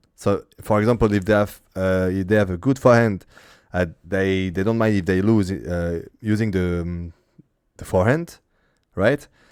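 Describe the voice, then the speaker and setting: A man speaks with a French accent in a fairly low pitch. His pace is moderate, with ordinary pitch variation. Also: very clean recording, silent background. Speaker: streamer and interviewer. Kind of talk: casual interview. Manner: halting.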